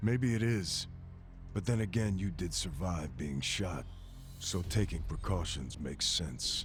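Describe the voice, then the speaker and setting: A man speaks in a put-on character voice, very deep and low in pitch. He talks at a fairly slow pace over loud background noise. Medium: video game. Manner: cold, clipped.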